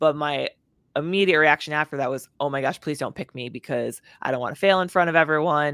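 With an American accent, this woman talks at a very fast pace, her very deep, low pitch held in fairly even intonation. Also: dry, close sound with no echo, very clean recording, silent background. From northern Wisconsin, US. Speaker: motivational speaker and former fighter pilot. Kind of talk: interview conversation.

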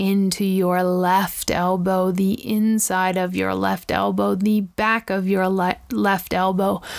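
Against a silent background on a very clean recording, a woman speaks at a very slow pace in a gentle, soothing tone, with a medium pitch and monotone, flat intonation. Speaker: podcast host and radio host. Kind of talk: guided meditation. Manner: slow, soothing, repeating body-part cues with calm pauses; gentle, reflective.

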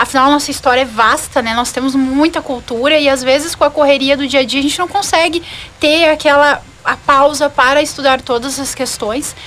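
Against noticeable background noise, a woman speaks with a high pitch and fairly even intonation. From Rio Grande do Sul, Brazil (Venâncio Aires). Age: 20s. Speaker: lawyer and pageant candidate. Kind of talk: radio interview. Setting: radio studio.

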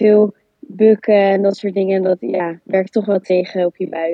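A woman's medium-pitched voice keeps a fairly even intonation. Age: 20s. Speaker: student, volunteer. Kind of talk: casual interview.

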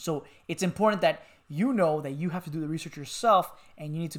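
This is a man with an ordinary speaking voice and an American accent. He talks at a fairly quick pace with a fairly high pitch. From Miami, Florida. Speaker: podcast co-host. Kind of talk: casual chat.

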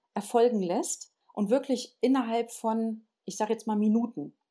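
A woman speaks at a very slow pace with a dark, mellow tone and a fairly high pitch. The recording is very clean, with a silent background. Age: 50s. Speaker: alternative practitioner and spiritual teacher. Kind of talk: casual interview.

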